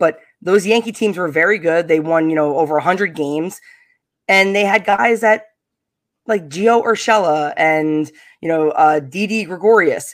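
Fairly slow speech with a Long Island accent is heard over a silent background in a very clean recording. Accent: Long Island New York. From US Northeast, Long Island, New York. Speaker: podcast host guest, baseball fan. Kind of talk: casual chat.

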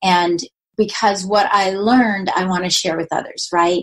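A woman speaks at a fairly slow pace with fairly even intonation and a medium pitch. It is an ordinary speaking voice. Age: 50s. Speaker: podcast host, retired mortgage lender. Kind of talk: solo monologue.

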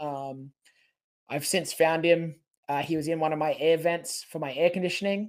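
A man with an Australian accent, fairly high-pitched, at a moderate pace and with fairly even intonation. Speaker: professional wrestler. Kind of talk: casual interview.

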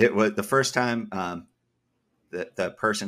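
A man with an American accent and an ordinary speaking voice, fairly quick in pace, with ordinary pitch variation, on a very clean recording with a silent background. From US Northeast, Massachusetts. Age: young. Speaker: editor and company founder. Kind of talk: interview.

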